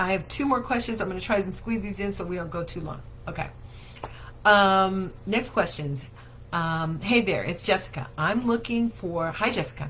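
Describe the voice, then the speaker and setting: A woman with lively intonation, heard with audible room echo. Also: medium pitch for a woman, moderate pace. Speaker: daycare owner and show host. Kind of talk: live Q&A show. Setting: Facebook livestream.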